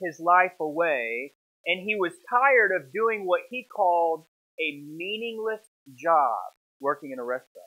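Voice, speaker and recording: A man at a fairly slow pace, quiet background. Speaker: preacher. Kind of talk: sermon. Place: church. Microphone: lapel.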